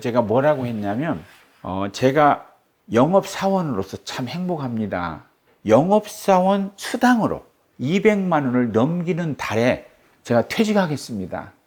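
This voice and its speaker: A man of medium pitch speaks at a fairly slow pace, his pitch swinging very widely. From South Korea. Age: 60s. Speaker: forest owner who returned to the mountains. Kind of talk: interview answer.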